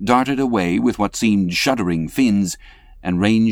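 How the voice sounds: The voice reads naturally.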